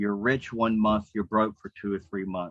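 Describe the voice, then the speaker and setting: A man uses an ordinary speaking voice, fairly low-pitched with fairly even intonation at a moderate pace. The sound is dry and close with no echo. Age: 60s. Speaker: self-employed commission earner. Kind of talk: group call sharing.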